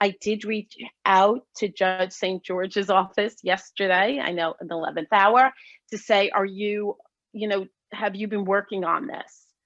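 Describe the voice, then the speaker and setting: A woman's normal speaking voice at a fairly slow pace, with fairly even intonation and a dry, close sound with no echo. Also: medium pitch for a woman. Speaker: lawyer. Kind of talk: panel presentation.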